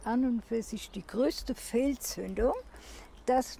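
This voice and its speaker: A woman speaks at a very slow pace, with a dry sound with no echo and light background noise. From Germany. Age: 80s+. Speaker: former sports teacher, local election candidate. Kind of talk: interview answer. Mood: critical, earnest. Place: street.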